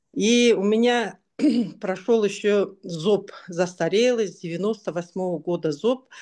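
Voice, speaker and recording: A woman with an unremarkable speaking voice, medium pitch and ordinary pitch variation, at a fairly slow pace. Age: 60s. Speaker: product testimonial giver. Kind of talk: testimony.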